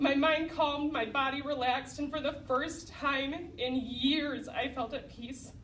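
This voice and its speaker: Loud and high-pitched, a woman talks with fairly even intonation amid audible room echo. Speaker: program graduate giving testimony. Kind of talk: testimony.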